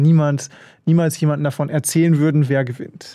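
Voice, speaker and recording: A man's fairly high voice, dark and mellow in tone, with fairly even intonation against a quiet background. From Germany, Bielefeld (northern Germany); Germany. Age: 20s. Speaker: extreme mountaineer; interview guest. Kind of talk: radio interview. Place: studio. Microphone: studio mic.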